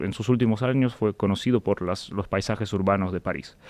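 A man speaks in a Russian accent at a fairly low pitch. The sound is dry, with no echo. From Russia, St Petersburg. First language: Russian (speaking Spanish). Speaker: historian; guest. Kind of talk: interview. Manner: halting. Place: studio. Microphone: studio mic.

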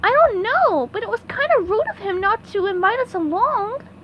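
A woman performs a cartoonish character voice at an extremely high pitch. Clear background noise is present. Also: moderate pace. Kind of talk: cartoon voice impression. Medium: fan dub. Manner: gleeful, mocking.

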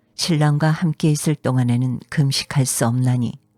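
Music plays behind a woman with a very deep, low voice. She speaks at a fairly slow pace, and the sound is dry and close with no echo. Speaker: voice actor. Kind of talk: scripture reading.

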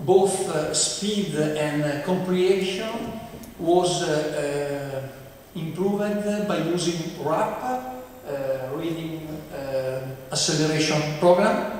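With an Italian accent, a man with a fairly high pitch and ordinary pitch variation talks at a very slow pace amid strong room echo and light background noise. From Italy. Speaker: professor. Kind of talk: lecture. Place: hall.

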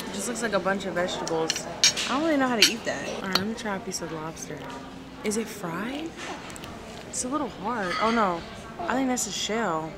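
A woman talks at a fairly quick pace. Loud background noise runs underneath. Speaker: vlogger. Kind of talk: casual vlog chat. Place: cafe. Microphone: phone near.

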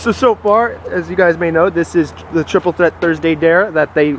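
Against light background noise, a man speaks at a moderate pace with ordinary pitch variation and a dry sound with no echo. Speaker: host making a dare cocktail. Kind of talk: casual vlog chat. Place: garden. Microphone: phone near.

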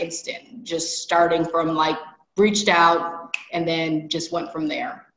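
A woman's fairly low-pitched voice with audible room echo. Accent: American. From US Midwest. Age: 30s. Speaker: MBA admit; interviewee. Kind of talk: interview. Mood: grateful, reflective. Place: home room. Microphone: video call.

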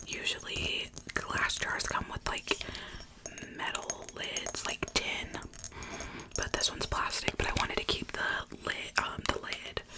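Long, frequent pauses break up a woman's fairly slow speech over loud background noise. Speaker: ASMR creator. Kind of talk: casual soft-spoken ASMR chat. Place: home room. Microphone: studio mic.

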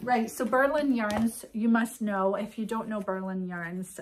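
Somewhat breathy, a woman speaks with ordinary pitch variation in a quiet background. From Britain. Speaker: yarn shop owner and podcast host; podcast host. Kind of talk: casual chat. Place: shop. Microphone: phone near.

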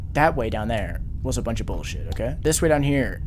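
The speaker is a man. Background noise can be clearly heard. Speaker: gamer streamer. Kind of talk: casual gaming commentary. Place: home room. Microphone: headset.

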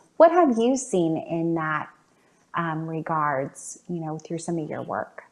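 A woman talks at a very slow pace in a fairly low pitch, with ordinary pitch variation. Her loudness swings widely against a quiet background. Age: 30s. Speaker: talk show host and community center coordinator. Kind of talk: interview. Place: home room. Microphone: video call.

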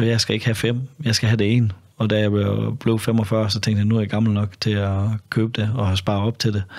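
Over a quiet background, a man with a fairly low pitch speaks at a fairly quick pace in a monotone, flat intonation. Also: very even loudness. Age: 50s. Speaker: former undercover police officer; podcast guest. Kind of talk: casual interview conversation. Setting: studio. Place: studio. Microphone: studio mic.

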